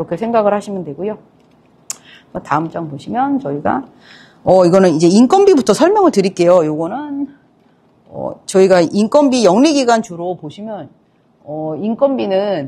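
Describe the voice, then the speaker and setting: The dark, mellow voice moves at a moderate pace with long, frequent pauses. Its pitch swings very widely, and its loudness swings a lot too. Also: woman, medium pitch for a woman. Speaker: accounting firm lecturer. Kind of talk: lecture. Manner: halting with fillers.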